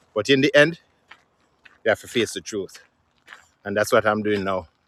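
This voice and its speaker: Lively intonation in a Jamaican accent at a moderate pace, with a dry, close sound and no echo. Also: man. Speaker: musician. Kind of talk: casual vlog talk to camera.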